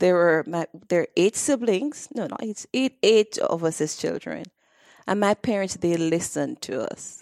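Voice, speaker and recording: A woman's pitch swings very widely at a moderate pace, and the sound is dry and close with no echo. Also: medium pitch for a woman, very clean recording, silent background. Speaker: direct sales entrepreneur. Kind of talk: interview. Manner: talkative.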